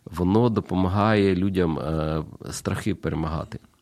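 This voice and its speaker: With ordinary pitch variation, a man speaks in a very deep, low voice. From Ukraine, Kyiv. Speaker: pastor. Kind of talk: radio interview. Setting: studio.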